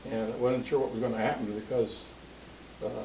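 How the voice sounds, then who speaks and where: A man of medium pitch speaks with a Midwestern American accent. The room echo is audible and background noise is noticeable. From Springfield, Ohio. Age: 80s+. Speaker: family elder interviewed about his life. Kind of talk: oral history interview. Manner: halting, with many fillers.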